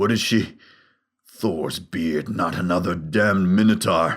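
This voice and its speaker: A man uses a put-on character voice, very deep and raspy. He speaks at a fairly slow pace. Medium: read story. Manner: gruff, wry.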